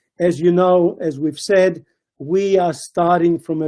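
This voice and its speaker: At a very slow pace, a man speaks in a high pitch with a dark, mellow tone and ordinary pitch variation. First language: not Italian; speaks Italian poorly. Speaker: research centre CEO. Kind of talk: webinar presentation.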